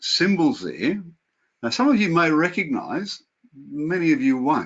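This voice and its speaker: With a strong Australian accent, a man is speaking. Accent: broad Australian. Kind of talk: webinar lecture. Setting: video call.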